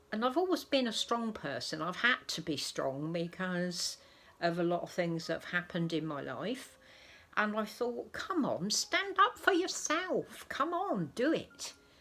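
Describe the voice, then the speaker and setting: A woman with an English accent speaks fairly slowly in a fairly high voice, her pitch swinging very widely. Noticeable background noise is present. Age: 70s. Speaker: doll collector vlogger. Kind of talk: casual vlog talk. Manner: soft-spoken.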